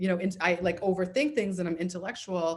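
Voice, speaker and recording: This is an ordinary speaking voice. A woman talks at medium pitch and a fairly quick pace. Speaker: therapist and comedy show host. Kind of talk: casual chat. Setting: video call.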